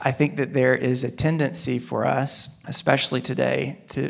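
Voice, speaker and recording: A man with a normal speaking voice, medium pitch, and fairly even intonation. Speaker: pastor. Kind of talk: panel discussion.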